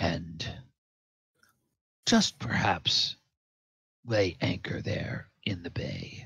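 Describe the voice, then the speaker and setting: Using a put-on character voice, a man speaks at a fairly low pitch. His pace is very slow, with long, frequent pauses. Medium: actual play. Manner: formal, courteous.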